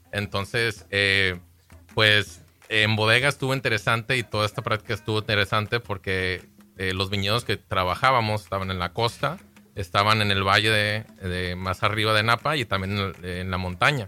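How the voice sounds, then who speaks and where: With a bright, sharp tone, a man speaks at a moderate pace, his fairly low pitch held fairly even. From Baja California, Mexico. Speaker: winemaker. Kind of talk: radio interview. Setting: radio studio.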